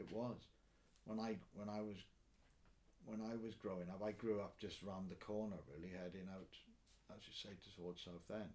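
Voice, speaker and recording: The speech moves at a moderate pace in a Welsh accent, with long, frequent pauses. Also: man, fairly low pitch for a man, fairly even intonation. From Swansea, Wales. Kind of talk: interview answer. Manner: casual, conversational.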